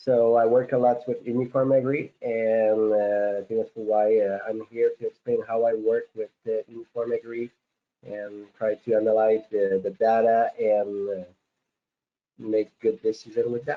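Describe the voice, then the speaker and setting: With a strong French Canadian accent, a man speaks fairly slowly at a medium pitch in a monotone, flat intonation. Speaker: farm consultant. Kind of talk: webinar guest talk. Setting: online webinar. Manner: hesitant, many filler words.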